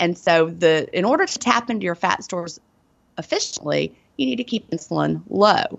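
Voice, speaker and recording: A woman with a Southern US accent talks at a moderate pace. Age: 40s. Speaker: author and former teacher. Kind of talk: interview.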